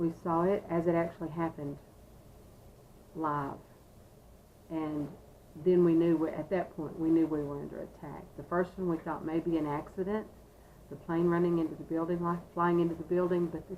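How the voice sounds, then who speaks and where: A dark, mellow voice speaks at a moderate pace in a flat monotone, broken by long, frequent pauses. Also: woman. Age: 60s. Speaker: assistant principal. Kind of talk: interview. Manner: halting.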